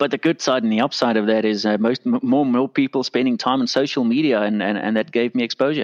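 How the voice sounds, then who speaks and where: At a very fast pace with hardly any pauses, a man in a South African accent speaks at medium pitch with fairly even intonation and very even loudness. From South Africa, Pretoria. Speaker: compliance consultant, former lawyer. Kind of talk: interview.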